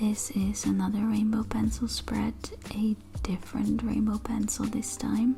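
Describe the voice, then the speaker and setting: The speech moves at a fairly slow pace with very even loudness. Background noise is noticeable. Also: woman. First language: not English. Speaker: artist. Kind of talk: sketchbook tour narration.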